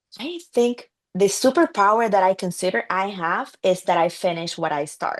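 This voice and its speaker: A woman with a Spanish accent speaks at a medium pitch. Her pace is moderate. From Colombia, Barranquilla. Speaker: entrepreneur, accountant. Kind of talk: podcast interview. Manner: hesitant, with fillers.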